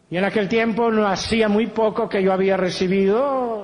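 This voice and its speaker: A man's high-pitched voice at a fairly slow pace, with audible room echo. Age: 70s. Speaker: pastor. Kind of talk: sermon.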